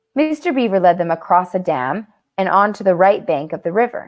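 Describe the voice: This is plain reading aloud against a quiet background.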